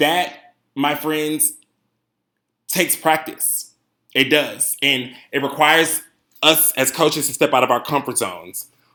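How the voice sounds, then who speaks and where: A loud man with a fairly high pitch, a bright, sharp, animated tone, a fairly slow pace and long, frequent pauses, in a very clean recording with a silent background. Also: ordinary pitch variation. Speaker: cheerleading coach. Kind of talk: conference presentation.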